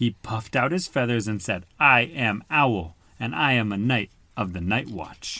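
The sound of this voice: The speaker uses an unforced reading voice, with ordinary pitch variation.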